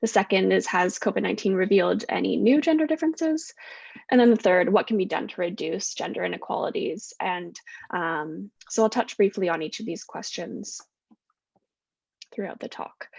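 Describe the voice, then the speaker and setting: In a Canadian accent, a woman with a medium pitch and vocal fry swings her pitch very widely. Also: moderate pace. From west coast of Canada. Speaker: postdoctoral researcher, social psychologist. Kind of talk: academic talk at online panel.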